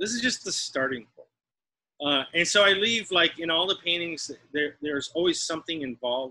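A man's bright, sharp voice with an American accent, at a fairly quick pace. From Texas. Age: 40s. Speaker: artist; teacher. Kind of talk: casual chat; interview answer. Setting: video call. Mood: relaxed, reflective. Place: studio. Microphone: video call.

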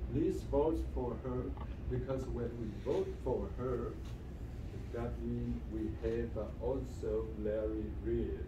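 Noticeable background noise sits behind a man who speaks at a very slow pace with long, frequent pauses. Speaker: realtor and local business owner hosting meeting. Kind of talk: welcoming remarks at community meeting. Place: meeting room. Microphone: camera far.

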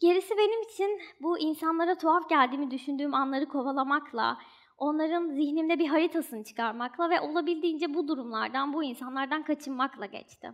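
This woman's voice is high in pitch and moves at a fairly quick pace. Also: quiet background. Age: 20s. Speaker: doctoral student and writer; speaker. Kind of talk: stage talk. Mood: reflective, earnest. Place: stage. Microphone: headset.

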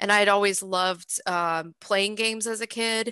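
An American accent marks this woman's bright, sharp tone, delivered at a moderate pace with fairly even intonation. The sound is dry with no echo against a quiet background. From Boston. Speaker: game level design director. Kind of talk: panel discussion. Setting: video call. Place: home room. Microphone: headset.

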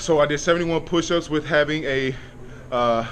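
A man speaks fairly slowly over light background noise. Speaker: vlogger reporting fitness test results. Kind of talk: casual vlog chat. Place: gym. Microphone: phone near.

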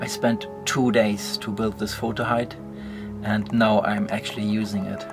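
While clear music sounds behind him, a man talks at a moderate pace. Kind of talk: casual vlog chat. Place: tent. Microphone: phone near.

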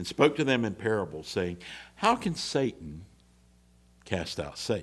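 Moderate pace from a man's voice. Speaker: minister. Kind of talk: scripture reading in a sermon. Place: church. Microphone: podium.

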